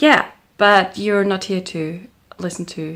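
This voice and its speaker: In a German accent, the speaker talks at a very slow pace on a very clean recording with a silent background. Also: woman. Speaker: crafting vlogger. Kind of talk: casual vlog chat. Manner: hesitant, with many fillers.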